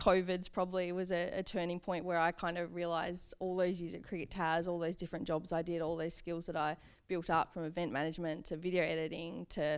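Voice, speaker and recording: A woman with an Australian accent talks at a fairly quick pace, her pitch fairly low. Her intonation is monotone and flat. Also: hardly any pauses, very clean recording, silent background. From Hobart, Tasmania, Australia. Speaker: social media and publicity manager. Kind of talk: interview answer. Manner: casual, conversational.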